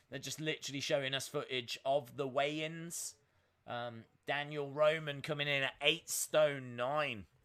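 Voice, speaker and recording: With an English Midlands accent, a man talks at a fairly slow pace, his bright, sharp tone carried on fairly even intonation. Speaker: live-stream host reacting to boxing. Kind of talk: live-stream watch-along chat. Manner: casual, with many filler sounds (uh, um).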